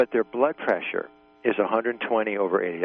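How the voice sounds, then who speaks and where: Over music in the background, a man with a fairly low pitch talks at a very fast pace. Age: 60s. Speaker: caller. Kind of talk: casual chat. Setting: phone call. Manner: halting.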